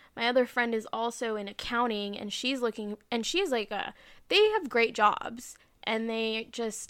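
Using an ordinary speaking voice, a woman speaks at a fairly high pitch and moderate pace with fairly even intonation, on a very clean recording with a silent background. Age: 20s. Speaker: podcast co-host. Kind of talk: casual chat.

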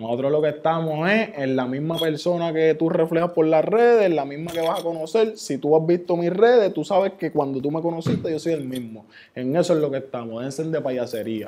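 A man's ordinary speaking voice, fairly high in pitch, with hardly any pauses. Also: ordinary pitch variation, fairly quick pace. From Puerto Rico, Ceiba. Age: 20s. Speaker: rapper. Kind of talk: casual interview.

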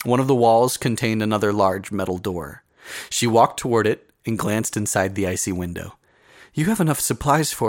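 What we hear is plain reading aloud.

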